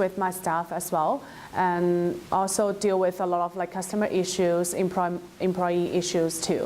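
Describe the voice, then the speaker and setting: Speaking at a fairly slow pace, a woman talks with a Chinese accent. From China. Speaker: former international student. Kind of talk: personal testimony. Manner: halting, many fillers.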